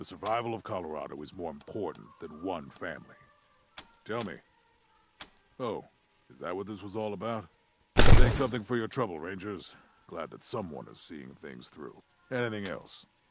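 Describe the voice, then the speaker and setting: In a gruff, put-on character voice, someone speaks at a moderate pace with lively intonation and long, frequent pauses. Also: man, fairly low pitch for a man. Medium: video game. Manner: gruff, contemptuous.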